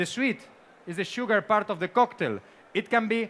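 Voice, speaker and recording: The speaker has a Spanish accent and ordinary pitch variation. The recording is very clean, with a silent background. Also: man. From Spain. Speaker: bartender and tiki cocktail expert. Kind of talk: seminar presentation.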